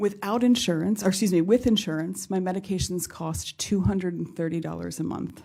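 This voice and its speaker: A woman with a fairly low pitch and a dark, mellow tone talks at a moderate pace with fairly even intonation. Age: 50s. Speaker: patient advocate. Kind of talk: testimony. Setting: congressional forum with audience. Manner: formal.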